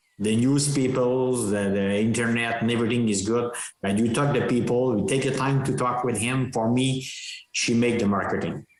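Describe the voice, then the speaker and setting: A man with a non-native accent speaks at a moderate pace and medium pitch, with fairly even intonation. His loudness stays very even, and the room echo is audible. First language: French. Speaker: dairy farmer and cattle breeder. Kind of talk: podcast interview. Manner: halting.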